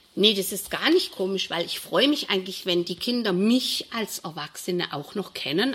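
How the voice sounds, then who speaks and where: A woman talks at a moderate pace with lively intonation and medium pitch. It is an ordinary speaking voice. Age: 60s. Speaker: primary school teacher. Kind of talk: interview.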